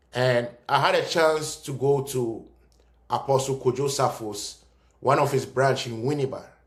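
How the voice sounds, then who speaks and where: A somewhat breathy man at a medium pitch and a fairly slow pace. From Ghana (Cape Coast). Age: young. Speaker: commentator. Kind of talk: video monologue. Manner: animated.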